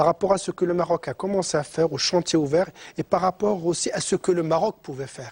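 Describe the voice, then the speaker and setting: At a moderate pace, a man uses an ordinary speaking voice, fairly high in pitch, in a dry, close recording with no echo. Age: 60s. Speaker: economist and professor. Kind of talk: TV interview.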